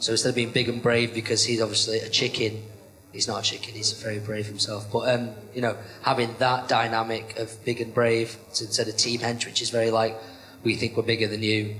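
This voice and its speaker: Over noticeable background noise, a man talks fairly quickly at a medium pitch with monotone, flat intonation. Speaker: professional wrestler. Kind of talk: podcast interview.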